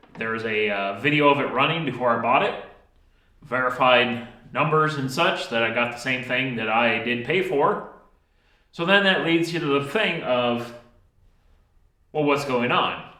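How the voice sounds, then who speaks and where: Medium-pitched man with ordinary pitch variation, long, frequent pauses, and audible room echo. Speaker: DIY mechanic video host. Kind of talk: workshop tutorial talk. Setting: home workshop. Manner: slow.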